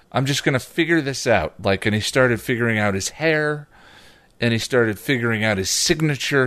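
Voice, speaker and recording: Over a quiet background, a man with an ordinary speaking voice talks at a moderate pace and medium pitch, his intonation lively. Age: 40s. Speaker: podcast co-host and YouTube reviewer. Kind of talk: casual chat.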